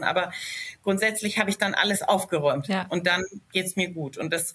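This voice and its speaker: Speaking at a fairly quick pace, a woman with a medium pitch talks in a slight Franconian accent. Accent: slight Franconian, rolled R. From Lower Franconia, Germany (Schweinfurt area). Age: 30s. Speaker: company founder. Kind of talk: casual interview.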